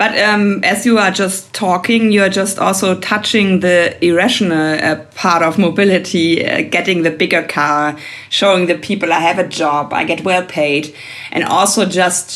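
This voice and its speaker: Over noticeable background noise, a woman with a fairly low pitch speaks at a moderate pace with very even loudness and ordinary pitch variation. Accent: German. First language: German. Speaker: podcast host. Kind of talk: interview. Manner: hesitant, frequent fillers.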